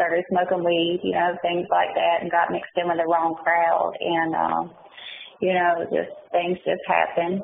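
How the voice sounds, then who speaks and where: In a Southern US accent, a woman speaks at a fairly slow pace. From North Carolina, Mount Olive and Goldsboro. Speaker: prison inmate, interviewee. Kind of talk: interview. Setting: prison phone call. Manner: hesitant, many fillers.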